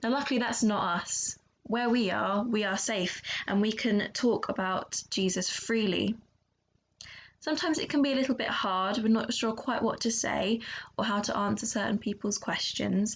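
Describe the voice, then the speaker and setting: Using vocal fry, a woman speaks at a fairly high pitch and a moderate pace with ordinary pitch variation. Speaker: children's church leader. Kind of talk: children's church talk. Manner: loud; animated.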